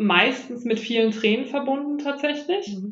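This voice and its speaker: A woman's high-pitched voice. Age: 30s. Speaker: animal communicator. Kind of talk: interview.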